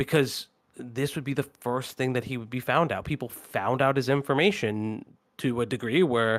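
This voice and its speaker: With a plain, everyday voice, a man talks at a fairly quick pace and medium pitch in a very clean recording with a silent background. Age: 30s. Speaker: streamer reacting to video. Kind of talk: livestream reaction commentary. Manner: casual, conversational.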